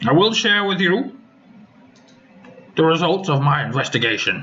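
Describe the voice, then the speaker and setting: Putting on a character voice, a man speaks high with very wide pitch swings, very even loudness and a moderate pace. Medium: actual play. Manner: formal, authoritative.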